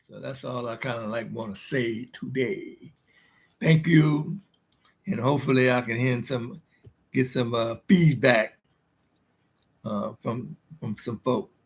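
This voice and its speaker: Using vocal fry, a man speaks at a fairly slow pace with long, frequent pauses. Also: medium pitch for a man, ordinary pitch variation, big swings in loudness. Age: 70s. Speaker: war veteran and activist vlogger. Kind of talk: personal video monologue. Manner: halting, many fillers.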